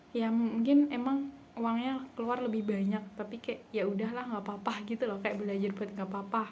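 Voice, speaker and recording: With an unremarkable speaking voice, a woman talks at a fairly high pitch, with fairly even intonation and hardly any pauses. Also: fairly quick pace. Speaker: vlogger, university student. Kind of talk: casual vlog monologue. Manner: chatty, filler-heavy.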